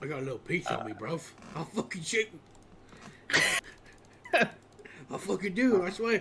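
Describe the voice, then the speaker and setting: In a put-on character voice at a middle pitch, the speaker moves at a moderate pace with long, frequent pauses. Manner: threatening, aggressive.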